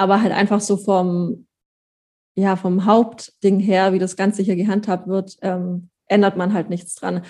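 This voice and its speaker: A woman at medium pitch, fairly slow, in a monotone, flat delivery. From Allgäu, Bavaria/Swabia, southern Germany. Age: 20s. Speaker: pony owner and breeder. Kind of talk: casual interview chat.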